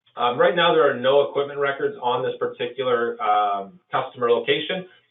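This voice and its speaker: Using a normal speaking voice, a man with fairly high pitch talks at a fairly quick pace with lively intonation. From Canada. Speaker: software presenter. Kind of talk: software demo webinar. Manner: casual, with filler words.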